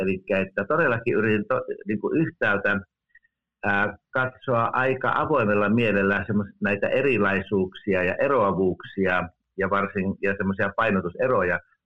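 A man speaks at a fairly slow pace with a fairly low pitch and ordinary pitch variation. His is an unremarkable speaking voice. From Finland. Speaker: theology professor. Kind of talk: interview. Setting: remote call.

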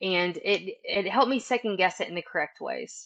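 At a moderate pace, the talking comes through with only quiet behind it. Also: woman. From East Texas. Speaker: woodworker and craft market vendor. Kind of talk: interview conversation.

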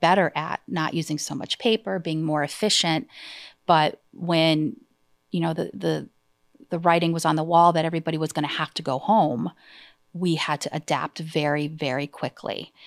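Recorded very cleanly against a silent background, with a dry, close sound and no echo, a woman with a fairly low pitch and an ordinary speaking voice speaks at a moderate pace. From Massachusetts, US. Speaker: insurance agency owner. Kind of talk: interview. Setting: studio.

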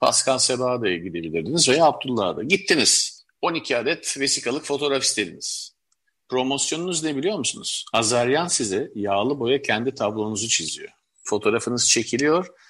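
A man talks at a moderate pace with vocal fry and very wide pitch swings. The background is quiet. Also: medium pitch for a man. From Istanbul, Turkey (Levantine family). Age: 50s. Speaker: collector and publisher. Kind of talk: interview.

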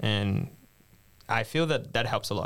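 A man speaks at a moderate pace with a fairly low pitch. The recording is very clean, the background silent. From Brazil, Brasilia. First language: Portuguese. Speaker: master's student. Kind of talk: roundtable discussion.

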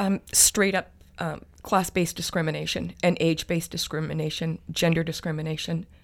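A woman's fairly low-pitched voice with vocal fry, at a fairly quick pace, monotone and flat in intonation. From Alberta, Canada. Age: 50s. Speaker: PhD student in sociology. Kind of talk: interview.

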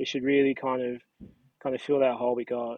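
A man speaks at a fairly quick pace in a medium pitch, his intonation monotone and flat. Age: 30s. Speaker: podcast guest, hockey fan. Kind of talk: casual chat.

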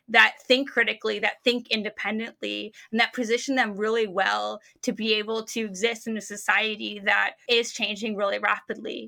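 A woman with an American accent, fairly high pitch, bright, sharp tone, monotone, flat intonation and vocal fry, at a moderate pace on a very clean recording with a silent background. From United States. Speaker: sociologist and startup researcher. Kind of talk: interview.

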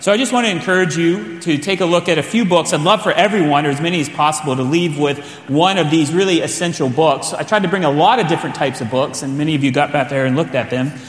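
A man with a fairly high pitch talks at a very fast pace with hardly any pauses. Noticeable background noise runs underneath. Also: ordinary pitch variation. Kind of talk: conference teaching. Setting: church conference.

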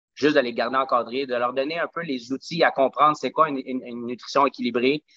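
Recorded with a dry, close sound and no echo against a quiet background, a man speaks at a fairly high pitch in a bright, sharp tone. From Quebec, Montreal South Shore. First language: Spanish (speaking French). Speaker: smoothie bar and gym owner. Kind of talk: casual interview.

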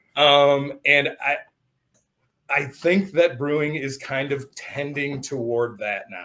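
In an American accent, a man with a fairly high pitch and a bright, sharp tone speaks very slowly, his loudness swinging widely. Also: ordinary pitch variation. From Michigan. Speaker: podcast host. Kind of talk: casual chat.

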